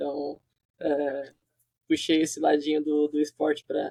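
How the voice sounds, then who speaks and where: A man's voice, dry and close, with no echo. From southern Brazil, Santa Catarina (Criciúma). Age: 20s. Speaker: software developer. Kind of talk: interview.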